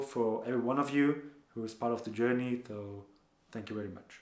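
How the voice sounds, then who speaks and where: Audible room echo surrounds a man of medium pitch who speaks at a moderate pace with fairly even intonation. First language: not English. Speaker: entrepreneur and former soldier. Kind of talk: casual vlog recap. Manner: casual, relaxed.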